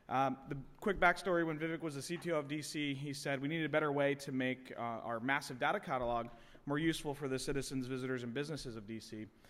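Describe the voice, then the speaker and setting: A man with a fairly high pitch talks at a very fast pace, his pitch varying in an ordinary way. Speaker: tech company CEO, conference speaker. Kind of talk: conference talk.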